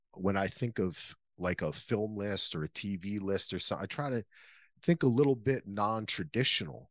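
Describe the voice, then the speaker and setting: A man with an ordinary speaking voice and an American accent, fairly low in pitch with lively intonation, at a fairly slow pace, against a quiet background with a dry, close sound and no echo. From New Jersey, US. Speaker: podcaster and filmmaker. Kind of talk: casual chat.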